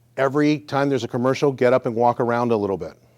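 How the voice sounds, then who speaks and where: A man talks at a very fast pace with fairly even intonation, the sound dry and close with no echo. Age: 60s. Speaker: physical therapist. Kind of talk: exercise class talk.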